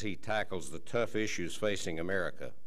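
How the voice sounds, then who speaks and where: A man speaks in a Texas accent. His pace is fairly quick, with ordinary pitch variation. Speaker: telecom company chief executive. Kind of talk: luncheon keynote speech. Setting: stage with audience.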